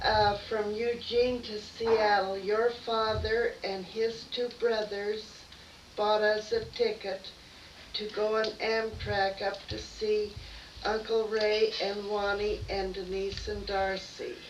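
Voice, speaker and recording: A woman with an American accent speaks very slowly in a fairly high, flat monotone. There is audible room echo and noticeable background noise. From Idaho, US. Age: 60s. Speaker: grandmother. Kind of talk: casual family interview. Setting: home, by a fireplace.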